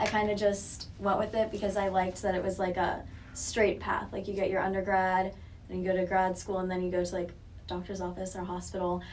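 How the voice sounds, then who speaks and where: In an American accent, a woman at medium pitch speaks fairly quickly with monotone, flat intonation, and audible room echo surrounds her. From Southwest Florida. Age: 20s. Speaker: college student and real estate intern. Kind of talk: casual interview.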